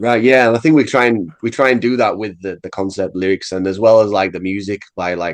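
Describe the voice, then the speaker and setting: Over a quiet background, a man with an English accent talks at a fairly quick pace. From England. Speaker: metal musician. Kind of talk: casual interview.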